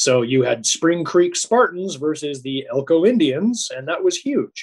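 A man with an American accent and a normal speaking voice, fairly high pitch, lively intonation, dry, close sound with no echo. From US West, northeastern Nevada. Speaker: university rugby head coach. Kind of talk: casual chat.

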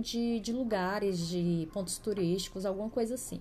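With music in the background, a woman speaks at a moderate pace and ordinary pitch variation. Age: 30s. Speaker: podcast host. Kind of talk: casual solo podcast monologue.

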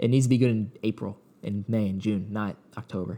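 A man's fairly low pitch with a dark, mellow tone, ordinary pitch variation and a moderate pace. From South Jersey. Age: 20s. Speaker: sports podcaster. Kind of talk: solo sports podcast monologue.

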